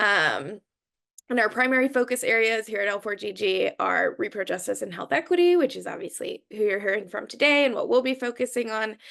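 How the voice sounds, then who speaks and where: Over a quiet background, the voice moves at a fairly quick pace with lively intonation and vocal fry. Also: woman, fairly high pitch for a woman. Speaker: staff attorney. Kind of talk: webinar presentation. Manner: fast.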